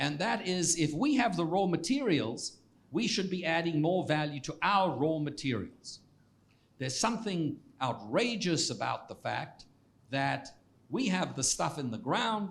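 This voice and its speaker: Very wide pitch swings mark this man's high voice as he speaks at a fairly slow pace. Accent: South African. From South Africa. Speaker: economics professor. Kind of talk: Q&A after a public lecture. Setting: lecture hall with audience. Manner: halting with many repetitions.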